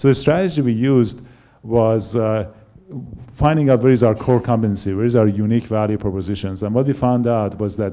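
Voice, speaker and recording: A man's medium-pitched, dark, mellow voice with a Persian accent, ordinary pitch variation and a fairly quick pace. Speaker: company founder and CEO. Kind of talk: panel talk. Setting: stage with audience. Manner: halting.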